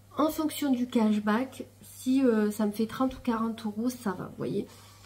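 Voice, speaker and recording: A woman's fairly high-pitched voice, dark and mellow in tone, with fairly even intonation. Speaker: vlogger. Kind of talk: casual vlog talk to camera. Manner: soft-spoken; trying to speak louder than usual.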